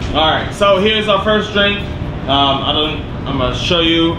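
Background noise is noticeable as a man speaks at a moderate pace. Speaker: cocktail show host. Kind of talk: casual interview chat. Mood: relaxed, amused. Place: bar.

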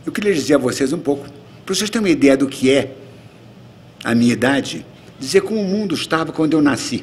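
A man speaks at a very fast pace with lively intonation, leaving long, frequent pauses. Light background noise sits under his voice. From Brazil, Rio de Janeiro. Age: 80s+. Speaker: retired ambassador, diplomat; guest lecturer. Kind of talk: lecture. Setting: auditorium with audience. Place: hall. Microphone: podium.

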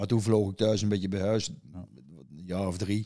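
At a very fast pace, a man speaks with a dark, mellow tone. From Netherlands, Erlecom (Gelderland). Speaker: pigeon fancier. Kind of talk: casual chat. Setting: at his own home. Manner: halting.

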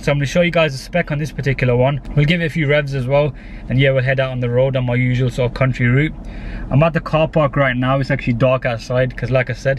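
A man talks at a very fast pace with monotone, flat intonation. The sound is dry with no echo, and light background noise is present. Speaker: car reviewer. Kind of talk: casual car review walkthrough. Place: car. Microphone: phone near.

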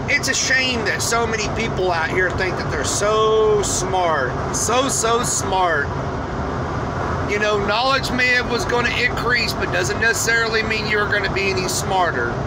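Over loud background noise, a man talks at a moderate pace with ordinary pitch variation. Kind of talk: casual vlog chat about faith. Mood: earnest, preachy. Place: car. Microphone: phone near.

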